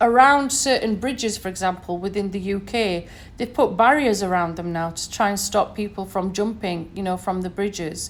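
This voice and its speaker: A woman speaks in a northern English accent. Her pitch is medium, with ordinary variation. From northern England, Sheffield. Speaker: podcaster. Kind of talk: solo podcast monologue. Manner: conversational, many fillers.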